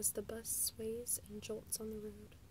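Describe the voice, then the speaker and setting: A soft-spoken woman whispering at a moderate pace. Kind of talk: ASMR book reading, soft-spoken. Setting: recorded without a proper microphone. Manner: soft-spoken, whispered.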